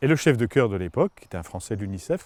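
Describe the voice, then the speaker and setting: This man's voice sits fairly low. He talks at a very fast clip. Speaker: opera singer and former forester. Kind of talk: interview storytelling. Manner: halting, many repetitions.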